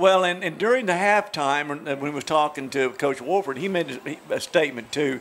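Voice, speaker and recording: A man at a moderate pace with ordinary pitch variation and light background noise. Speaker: color commentator. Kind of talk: sports commentary analysis. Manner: conversational, analytical.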